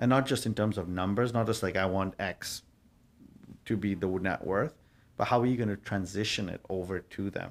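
A man talks in an ordinary speaking voice at a fairly low pitch and moderate pace, his intonation fairly even. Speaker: guest. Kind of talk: interview answer. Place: office. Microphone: studio mic.

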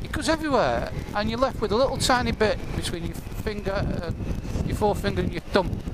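A man with an English accent speaks with hardly any pauses. The recording has audible room echo and noticeable background noise. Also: fairly quick pace. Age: 50s. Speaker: motorcycle vlogger. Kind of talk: casual vlog monologue. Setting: riding a motorcycle outdoors.

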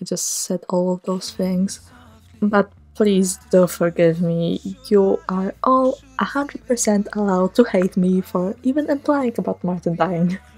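Over noticeable background noise, a woman talks at a fairly slow pace in a medium pitch. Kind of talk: casual voice-over commentary on a speedpaint. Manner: monotone, low-energy.

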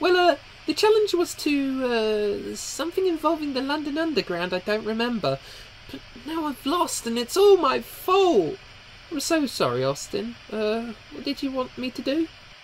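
A high-pitched, put-on character voice comes through over clear background noise. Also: moderate pace. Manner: scatterbrained, excitable.

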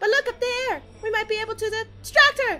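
A put-on character voice, squeaky and extremely high-pitched, rattles along at a fairly quick pace. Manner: urgent, game-character.

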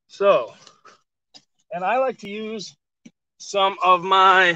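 A man's raised, projected voice with a bright, sharp tone, ordinary pitch variation, a dry sound with no echo and a quiet background. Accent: American. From northern Michigan. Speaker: master gardener and homesteader. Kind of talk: outdoor gardening tutorial on a livestream. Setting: outdoors at his homestead, video livestream. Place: garden.

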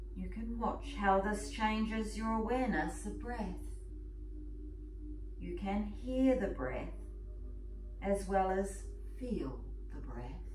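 A woman speaking very slowly with long, frequent pauses, amid light background noise and audible room echo. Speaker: yoga and meditation teacher. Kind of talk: guided meditation. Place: home room. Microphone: camera far.

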